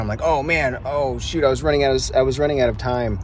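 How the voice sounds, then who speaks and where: Very fast speech from a man, amid audible room echo and clear background noise. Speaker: reselling vlogger. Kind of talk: casual vlog narration.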